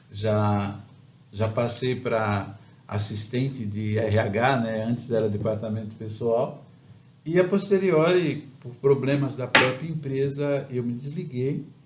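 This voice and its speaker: The pace is very slow, with ordinary pitch variation. Room echo is audible over noticeable background noise. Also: man, medium pitch for a man. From Brazil, São Paulo coast (Baixada Santista). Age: 60s. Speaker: civil engineer. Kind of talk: interview. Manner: halting.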